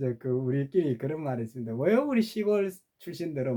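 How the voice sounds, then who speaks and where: Fairly high-pitched for a man, this man with a Gyeongsang accent has a dark, mellow tone and very wide pitch swings. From rural Gyeongju, North Gyeongsang, South Korea. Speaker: YouTuber. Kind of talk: casual monologue.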